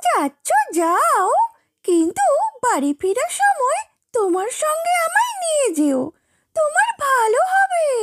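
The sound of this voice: A cartoonish character voice from a woman, squeaky and extremely high-pitched, at a very slow pace.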